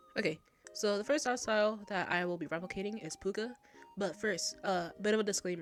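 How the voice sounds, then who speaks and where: Music plays in the background as a woman speaks at medium pitch with ordinary pitch variation. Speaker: art youtuber. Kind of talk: casual voiceover commentary. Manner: soft-spoken; hesitant.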